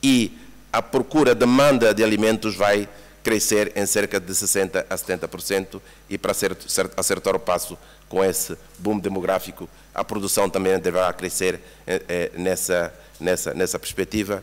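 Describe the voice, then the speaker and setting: A man's fairly low voice in a Mozambican accent, with ordinary pitch variation. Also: moderate pace. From Mozambique. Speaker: UN agency representative, former government official. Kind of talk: conference presentation. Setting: workshop room with audience. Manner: repeats words, stammering restarts.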